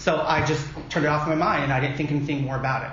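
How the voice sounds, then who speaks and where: A man with a fairly high voice talks at a fairly quick pace, with audible room echo and noticeable background noise. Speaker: drag pageant titleholder. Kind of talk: casual chat. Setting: conference room. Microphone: echo in room.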